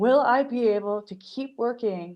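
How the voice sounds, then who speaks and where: Here is a woman with a plain, everyday voice. She talks at a fairly slow pace with ordinary pitch variation. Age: 40s. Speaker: social media marketing consultant, podcast co-host. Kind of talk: casual chat.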